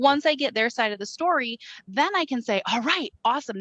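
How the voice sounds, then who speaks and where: With a Wisconsin accent, a woman talks at a fairly quick pace and swings her pitch very widely, recorded dry and close with no echo. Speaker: credit repair sales rep. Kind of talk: casual chat.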